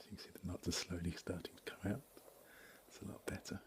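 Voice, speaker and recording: A man whispering in an English accent. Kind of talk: ASMR talk to camera. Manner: soft-spoken.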